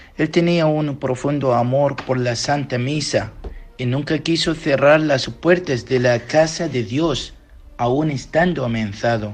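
Music plays in the background. Over it, a man talks at a fairly slow pace with a fairly high pitch. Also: ordinary pitch variation. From Iraq. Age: young. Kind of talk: interview answers.

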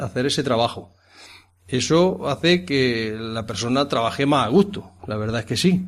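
Heard on a very clean recording with a silent background, a man has an unremarkable speaking voice at medium pitch, speaking at a moderate pace with ordinary pitch variation. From Andalusia, Jaén province. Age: 50s. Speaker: farm manager. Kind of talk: interview. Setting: on location at a rural farmhouse.

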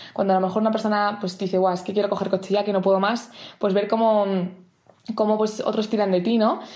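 A woman speaks at a medium pitch in a monotone, flat delivery. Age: 20s. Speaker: camp mentor. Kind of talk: prepared talk.

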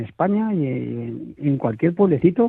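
His pitch swinging very widely, this man keeps a moderate pace. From small village in Toledo, Spain. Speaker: food industry association director. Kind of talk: radio interview. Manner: halting, many repetitions.

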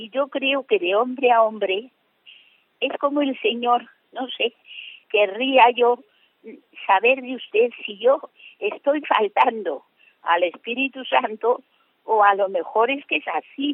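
At a very slow pace with long, frequent pauses, a woman with a high pitch speaks with lively intonation and big swings in loudness. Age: 80s+. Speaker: radio caller. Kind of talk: call-in question. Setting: phone call. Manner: halting.

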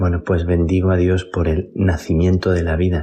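A man with a dark, mellow tone speaks fairly slowly in a somewhat breathy voice. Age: 50s. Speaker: priest. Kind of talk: spoken reflection. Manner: halting.

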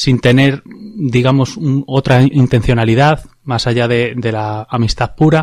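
A man speaks in a normal speaking voice at medium pitch. His pitch variation is ordinary. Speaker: radio host. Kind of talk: radio talk show.

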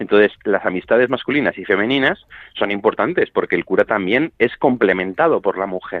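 Speaking fairly quickly with lively intonation, a man talks at a medium pitch in an unremarkable speaking voice. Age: 30s. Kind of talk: radio interview.

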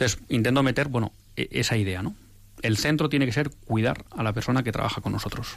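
A man of medium pitch talks in a normal speaking voice with ordinary pitch variation. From Bilbao, Spain. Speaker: radio presenter and university professor. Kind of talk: testimony. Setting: studio.

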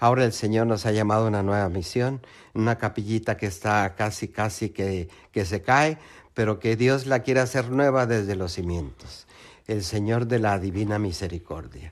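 A man with a plain, everyday voice talks at a moderate pace, fairly low in pitch with ordinary variation. The recording is very clean, with a silent background. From Mexico. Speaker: lay missionary. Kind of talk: testimony.

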